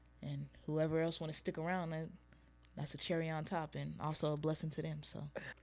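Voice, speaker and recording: On a very clean recording with a silent background, someone talks at a fairly quick pace in an American accent. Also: woman. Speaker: rapper. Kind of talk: casual interview. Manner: quiet.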